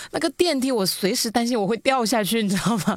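A woman talks at a very fast pace with a fairly high pitch. Her intonation is lively. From Hunan. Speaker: podcast host, former radio host. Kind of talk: casual chat.

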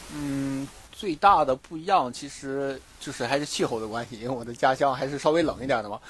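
A man with a fairly high voice speaks at a fairly quick pace, with ordinary pitch variation and big swings in loudness. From Dalian, northeast China. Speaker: scuba diver and dive instructor. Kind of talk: casual interview chat. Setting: outdoors on a beach. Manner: hesitant with many fillers.

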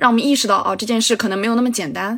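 Fairly high-pitched female voice amid noticeable background noise. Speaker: film podcast guest. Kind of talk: casual film discussion.

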